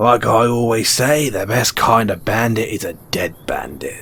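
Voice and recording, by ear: A put-on character voice with a fairly bright tone and vocal fry moves at a fairly slow pace with lively intonation. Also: man, fairly low pitch for a man.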